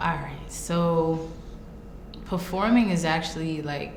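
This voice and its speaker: Speaking with an American accent, a woman keeps a fairly slow pace. Noticeable background noise and audible room echo come through. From Brooklyn, New York. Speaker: rapper. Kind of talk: interview. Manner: casual.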